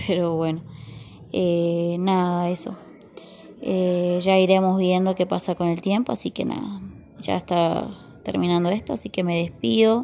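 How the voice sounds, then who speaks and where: Pausing long and often, a woman speaks fairly slowly in a fairly low voice with a dark, mellow tone and ordinary pitch variation over light background noise. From Argentina, Salta; Argentina. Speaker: vlogger. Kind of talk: casual vlog. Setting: at home among plants. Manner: hesitant, many fillers. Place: garden. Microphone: phone near.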